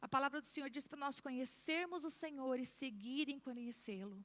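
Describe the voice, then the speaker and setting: A woman's high-pitched, animated voice at a moderate pace, with ordinary pitch variation. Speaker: pastor. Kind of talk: sermon. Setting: church.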